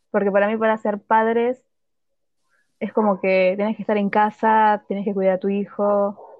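A woman speaks in a Rioplatense accent. Her pitch sits in the medium range. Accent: Argentine Spanish (rioplatense). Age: 20s. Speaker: podcast co-host. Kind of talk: casual chat.

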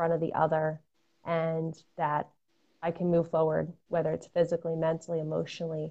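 A woman with an American accent speaks at a fairly quick pace in a somewhat breathy voice with a fairly low pitch. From Connecticut, Fairfield County. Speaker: runner and mental health advocate. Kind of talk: casual interview.

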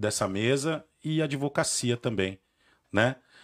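In a very clean recording with no background sound, a man with an unremarkable speaking voice talks at a medium pitch and a fairly slow pace. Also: dry, close sound with no echo. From Brazil, Santo André (São Paulo). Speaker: lawyer, podcast host. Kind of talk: casual chat.

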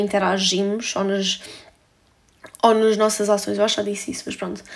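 A woman is talking at a medium pitch. Her pace is moderate. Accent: European Portuguese. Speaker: podcaster. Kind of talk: solo monologue, casual confessional. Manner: casual, filler-heavy.

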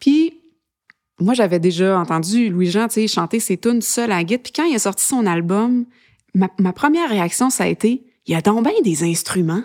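A woman speaks at a moderate pace and medium pitch with lively intonation and long, frequent pauses, in a dry, close sound with no echo. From Quebec, Eastern Townships and Montreal. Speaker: singer-songwriter. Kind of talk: interview. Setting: studio. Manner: casual, hesitant.

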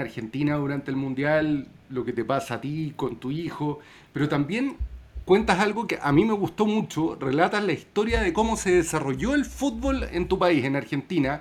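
Lively intonation at a moderate pace from a man with an unremarkable speaking voice, fairly high in pitch. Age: 40s. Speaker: podcast host. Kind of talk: casual interview.

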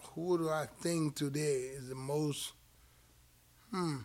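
A man's fairly high-pitched voice with an American accent, a very slow pace and ordinary pitch variation, in a very clean recording with a silent background. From outside the US. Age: 50s. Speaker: boxing podcast co-host and former fighter. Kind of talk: casual chat. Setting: boxing gym.

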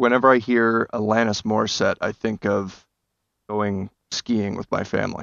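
A man with an American accent speaks at a moderate pace in a fairly low pitch. His intonation is monotone and flat, with long, frequent pauses. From New Jersey, Bergen County. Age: 30s. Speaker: actor. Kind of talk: casual chat. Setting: video call.

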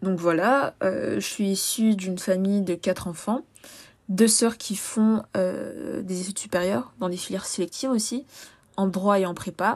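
A woman talks at a fairly slow pace, her pitch sitting in the medium range with ordinary variation. The recording is very clean, with a silent background. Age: 20s. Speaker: podcast host, sociology student. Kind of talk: solo podcast monologue. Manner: casual, with frequent hesitations.

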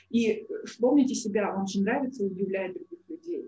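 A woman with an ordinary speaking voice talks at a fairly high pitch and a moderate pace. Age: 30s. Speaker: psychologist and coach. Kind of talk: online workshop. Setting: livestream, also on her own social page.

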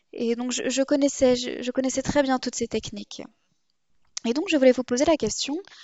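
A woman with a high-pitched voice speaks at a moderate pace, using ordinary pitch variation and long, frequent pauses. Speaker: podcast host. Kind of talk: interview, hosting a podcast.

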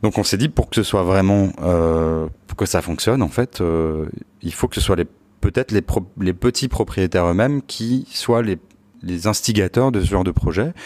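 A man speaks at a moderate pace with a fairly low pitch and ordinary pitch variation. The sound is dry and close, with no echo. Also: very clean recording, silent background. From Paris region (Palaiseau). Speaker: architect and start-up founder. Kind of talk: interview. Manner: hesitant, many fillers.

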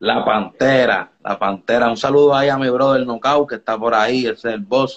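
Speaking at a moderate pace with hardly any pauses, a man at medium pitch has an ordinary speaking voice and fairly even intonation. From Dominican Republic, raised partly in Puerto Rico. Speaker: reggaeton artist. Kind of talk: casual interview on live stream. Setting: home studio under renovation.

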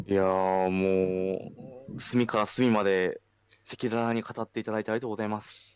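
Speaking at a moderate pace, a man uses an ordinary speaking voice with fairly low pitch, fairly even intonation, and big swings in loudness. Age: 30s. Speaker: farmer and podcast host. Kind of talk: casual chat.

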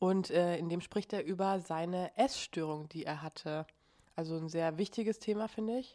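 Dark, mellow tone at a moderate pace, ordinary pitch variation, on a very clean recording with a silent background. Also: woman, fairly low pitch for a woman. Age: 20s. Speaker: podcast host. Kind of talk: casual chat.

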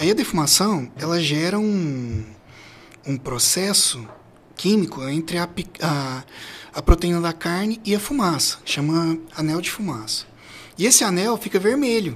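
A high-pitched man speaks with very wide pitch swings. His pace is fairly slow, broken by long, frequent pauses. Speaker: barbecue specialist. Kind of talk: casual chat. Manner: halting.

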